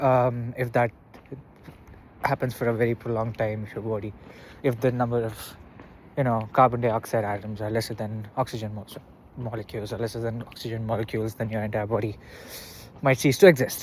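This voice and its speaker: A man's medium-pitched voice at a fairly quick pace, flat and monotone, broken by long, frequent pauses. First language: not English. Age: 20s. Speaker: vlogger. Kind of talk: casual monologue vlog. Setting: outdoors, walking. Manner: halting, with fillers.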